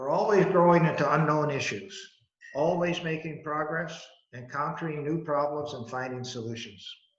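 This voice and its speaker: A man at a moderate pace, with big swings in loudness and audible room echo. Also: fairly high pitch for a man, ordinary pitch variation. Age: 80s+. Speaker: business founder, company chairman. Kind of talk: prepared talk. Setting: video call.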